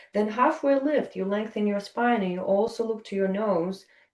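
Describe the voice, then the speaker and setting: This woman has a Russian accent. Her pitch sits at a medium level. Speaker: yoga teacher. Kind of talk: interview conversation. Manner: halting, many fillers.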